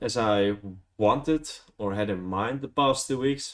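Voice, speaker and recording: A man with a Dutch accent speaks at medium pitch with ordinary pitch variation. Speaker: vlogger. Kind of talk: casual vlog, unscripted. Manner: hesitant, many fillers.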